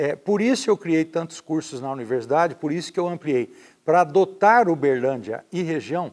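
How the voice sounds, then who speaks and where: An ordinary speaking voice moves at a moderate pace on a very clean recording with a silent background. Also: man. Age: 60s. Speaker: mayoral candidate, former university rector. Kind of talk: interview.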